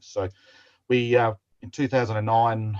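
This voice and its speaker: With an Australian accent, a man speaks in a somewhat breathy voice with fairly even intonation. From South Australia, Adelaide. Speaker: model railroader. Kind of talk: presentation.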